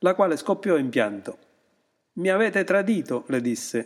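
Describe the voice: The voice does plain reading aloud with lively intonation, and the background stays quiet.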